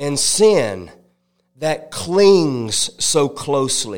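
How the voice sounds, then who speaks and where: In an animated tone, a man with a fairly high voice makes very wide pitch swings. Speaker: evangelist. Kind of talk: sermon. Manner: call-and-response, fervent.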